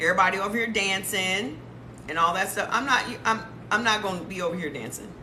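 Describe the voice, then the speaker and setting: Against noticeable background noise and audible room echo, a woman speaks in an animated tone at a medium pitch with ordinary pitch variation. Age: 50s. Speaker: lifestyle and health talk creator. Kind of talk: casual livestream talk.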